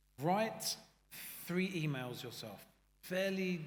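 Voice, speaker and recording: With a British accent, a man talks in a somewhat breathy voice with ordinary pitch variation and audible room echo. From UK. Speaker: AI consulting founder. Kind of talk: panel discussion. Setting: stage with audience. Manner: animated.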